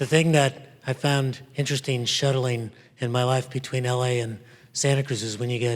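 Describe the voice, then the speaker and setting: In monotone, flat intonation, a man speaks at medium pitch with a somewhat breathy voice. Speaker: professor. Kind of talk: keynote talk. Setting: stage with audience.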